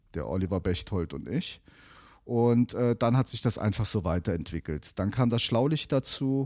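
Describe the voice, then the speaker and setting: On a very clean recording with a silent background and a dry, close sound with no echo, a man with fairly low pitch and a dark, mellow tone speaks at a moderate pace with lively intonation. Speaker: podcast producer and media agency owner. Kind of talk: casual chat.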